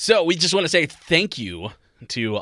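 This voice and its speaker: A man with a bright, sharp tone is heard on a very clean recording with a silent background. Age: 30s. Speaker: podcast co-host. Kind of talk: casual chat.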